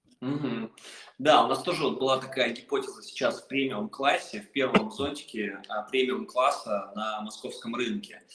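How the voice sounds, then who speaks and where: A man at a moderate pace, loudness swinging widely, with noticeable background noise. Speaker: podcast host, agency head. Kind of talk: podcast interview. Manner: animated.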